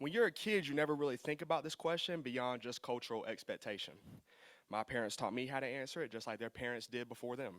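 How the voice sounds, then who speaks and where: A man speaks with an American accent at a fairly quick pace. His pitch varies in an ordinary way. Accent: Lumbee. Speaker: university administrator. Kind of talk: symposium talk. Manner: formal.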